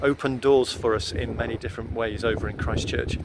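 Speaking at a fairly quick pace, a man is heard over noticeable background noise in a dry recording with no echo. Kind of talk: casual vlog update. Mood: warm, upbeat. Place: street. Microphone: earbuds.

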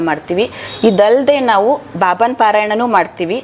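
Noticeable background noise sits behind a woman whose voice is medium in pitch. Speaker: devotional chanting group member. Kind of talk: interview testimony.

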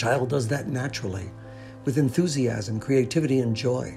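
With music in the background, a man speaks in a calm tone at medium pitch and a moderate pace, with ordinary pitch variation. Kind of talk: inspirational voiceover narration. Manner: calm, reflective, encouraging.

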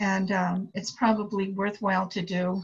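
Somewhat breathy delivery from a woman, unhurried at a fairly slow pace. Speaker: tax student. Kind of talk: casual chat.

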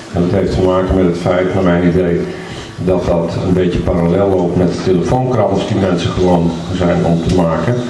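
At a moderate pace and with fairly even intonation, the voice carries audible room echo and noticeable background noise. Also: man. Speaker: speaker. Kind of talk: speech.

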